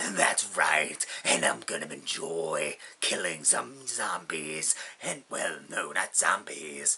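Slow-ish and put-on, this man's character voice sits very deep and low, delivered at a fairly slow pace. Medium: solo performance. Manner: gleeful, menacing.

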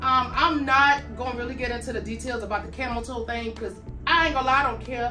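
A raised, projected voice moves at a very fast pace with fairly even intonation. Clear music plays in the background. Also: woman. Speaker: fitness apparel reviewer. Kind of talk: casual vlog chat. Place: home room.

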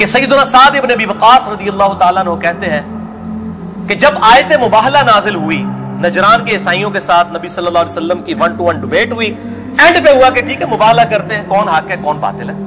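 A man projects his raised, high-pitched voice with ordinary pitch variation over clear music in the background. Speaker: Islamic lecturer and preacher. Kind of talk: religious lecture. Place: studio.

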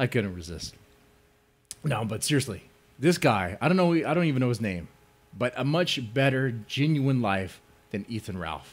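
A man talks with very wide pitch swings. He leaves long, frequent pauses. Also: moderate pace. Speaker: livestreamer. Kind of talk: casual stream commentary. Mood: mocking, joking. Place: home room. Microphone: headset.

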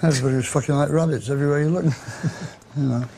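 Over noticeable background noise, the speech runs at a very fast pace with ordinary pitch variation. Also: man. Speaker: interviewee. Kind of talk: interview answer. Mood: gruff, sardonic, humorous. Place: bar.

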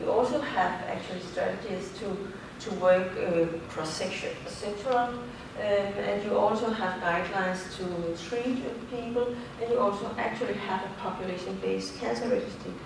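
Amid noticeable background noise and strong room echo, a woman speaks at a moderate pace with ordinary pitch variation and long, frequent pauses. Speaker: invited lecturer. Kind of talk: lecture. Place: hall. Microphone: camera far.

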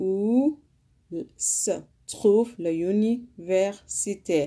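A woman speaks with a Sudanese accent and a dark, mellow tone. Her pitch varies in an ordinary way over a quiet background. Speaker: language teacher. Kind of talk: language lesson. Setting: live stream. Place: home room. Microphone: phone near.

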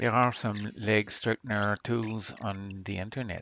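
A man talks in a fairly low voice at a fairly slow pace. His intonation stays monotone and flat. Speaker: retro computer hobbyist. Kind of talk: hobby tech voice-over.

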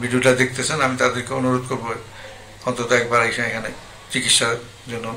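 Over light background noise, a man speaks with a monotone, flat intonation. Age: 60s. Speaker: hospital patient. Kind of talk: interview testimonial. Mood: calm, earnest. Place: home room. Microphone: handheld.

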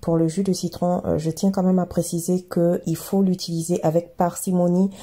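A woman speaks in a dark, mellow, somewhat breathy tone with hardly any pauses. Her intonation is flat and monotone, and her loudness stays very even. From Ivory Coast. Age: 30s. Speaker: skincare YouTuber. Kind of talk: casual talk to camera. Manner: warm, friendly.

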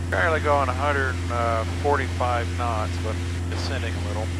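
Loud background noise fills the recording as a man talks. No echo is present, and the sound is dry. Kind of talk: in-flight commentary. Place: plane. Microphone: headset.

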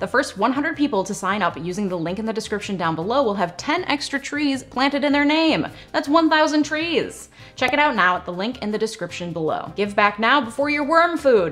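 A woman's high-pitched voice at a fairly quick pace, with faint music in the background. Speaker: lawyer, YouTube host. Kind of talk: commentary. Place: home room.

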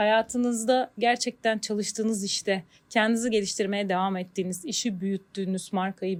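A woman with a normal speaking voice talks at a moderate pace, fairly high in pitch, with ordinary pitch variation. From Turkey, Bandırma. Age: 40s. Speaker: marketing manager. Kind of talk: interview.

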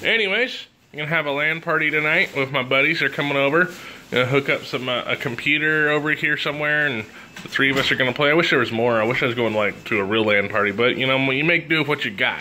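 A man speaks at a very fast pace with ordinary pitch variation over light background noise. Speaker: vlogger. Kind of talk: casual vlog chat. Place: home room. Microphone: phone near.

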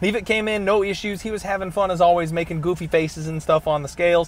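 Talking at a very fast pace, a man with a high pitch keeps fairly even intonation over a dry sound with no echo. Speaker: MMA podcast host. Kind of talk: sports betting commentary. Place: car. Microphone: earbuds.

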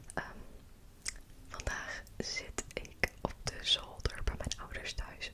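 A woman is whispering. Her words come out hushed and breathy. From Netherlands. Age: 20s. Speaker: ASMR creator. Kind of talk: ASMR rambling. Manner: soft-spoken. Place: home room. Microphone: studio mic.

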